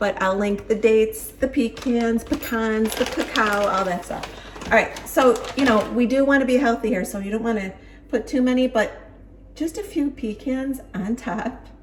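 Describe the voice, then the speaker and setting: With a Buffalo accent, a woman with a fairly high pitch speaks at a moderate pace in an animated tone with ordinary pitch variation over noticeable background noise. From Buffalo, New York, US. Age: 50s. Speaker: lifestyle vlogger. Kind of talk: casual vlog tutorial. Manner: chatty, animated.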